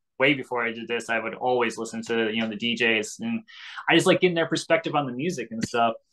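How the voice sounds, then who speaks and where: The tone is bright and sharp, with ordinary pitch variation. Delivery is very fast over a quiet background. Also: man, medium pitch for a man. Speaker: radio host and content creator. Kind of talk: casual interview chat. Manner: rambling, stuttering, mumbling; excitable, animated.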